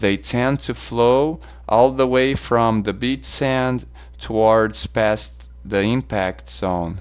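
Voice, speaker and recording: A man talks very slowly with a non-native accent. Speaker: surf self-defense instructor. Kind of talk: audiobook reading.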